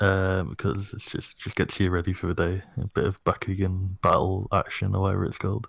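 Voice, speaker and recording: Very deep and low, a man's somewhat breathy voice moves at a fairly quick pace with hardly any pauses on a very clean recording with a silent background. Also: fairly even intonation. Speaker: podcast guest. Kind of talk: casual chat. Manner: halting.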